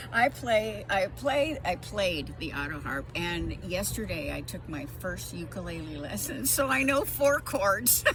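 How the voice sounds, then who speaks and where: Music plays in the background as the speaker talks at a fairly slow pace with hardly any pauses, and audible room echo can be heard. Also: woman. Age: 70s. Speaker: music booking agent, retired veterinarian. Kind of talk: interview. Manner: halting, many fillers.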